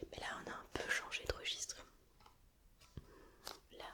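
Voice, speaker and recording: Whispering in a relaxed tone, a woman's volume rises and falls sharply over noticeable background noise. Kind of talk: casual talk to camera. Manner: relaxed, chatty.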